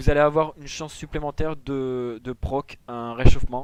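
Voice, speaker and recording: A man with a plain, everyday voice. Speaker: gaming tutorial creator. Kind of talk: tutorial.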